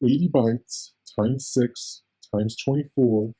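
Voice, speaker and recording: A man's medium-pitched voice, dark and mellow in tone and somewhat breathy, comes through a dry, close sound with no echo. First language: not English. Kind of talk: technical document reading. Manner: occasional stutters.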